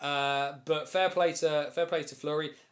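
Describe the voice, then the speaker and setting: In a British accent, a man speaks with ordinary pitch variation. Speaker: ice hockey streamer and commentator. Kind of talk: live stream chat. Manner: fast; animated.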